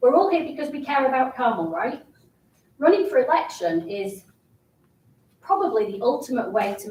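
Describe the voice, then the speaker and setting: A high-pitched woman with a British accent speaks at a moderate pace with long, frequent pauses. Her pitch swings very widely and her loudness shifts a lot. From England. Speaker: city council candidate. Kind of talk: campaign speech. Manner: animated.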